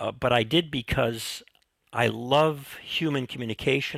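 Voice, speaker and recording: A man with an American accent, medium pitch and vocal fry at a moderate pace, in a dry, close sound with no echo. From US Midwest. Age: 70s. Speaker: retired professor and teaching mentor. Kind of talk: interview conversation.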